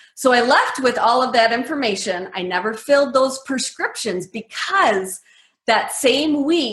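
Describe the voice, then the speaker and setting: An ordinary speaking voice from a woman with an American accent, ordinary pitch variation and a fairly slow pace. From US Midwest, Medford, Wisconsin. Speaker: keto nutrition author. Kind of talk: interview.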